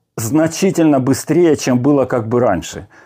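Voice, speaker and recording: A man's dark, mellow tone with ordinary pitch variation over a quiet background. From Siberia, Russia. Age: 60s. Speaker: fitness blogger. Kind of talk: casual vlog talk. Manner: halting, with fillers. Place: home room. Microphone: lapel.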